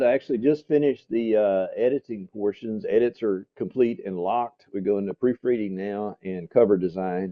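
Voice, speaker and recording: Fairly quick and fairly low-pitched, a man talks in a normal speaking voice. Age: 60s. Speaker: real estate brokerage founder. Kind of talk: interview.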